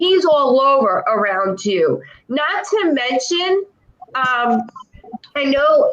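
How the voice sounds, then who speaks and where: A loud woman talks at a very slow pace with long, frequent pauses. Her high pitch moves in very wide swings. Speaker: clairvoyant. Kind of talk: psychic reading. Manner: animated.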